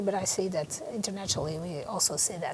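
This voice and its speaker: A woman with a Portuguese accent at a moderate pace, with ordinary pitch variation. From Portugal. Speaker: neurologist and headache researcher. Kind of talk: interview. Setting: conference venue. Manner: halting, many fillers.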